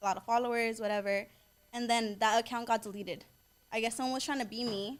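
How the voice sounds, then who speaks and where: Very fast speech in monotone, flat intonation with a Southern California accent. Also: woman, fairly high pitch for a woman. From US West Coast, Inglewood, Los Angeles. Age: 20s. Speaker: social media influencer and boutique owner. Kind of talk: casual podcast interview.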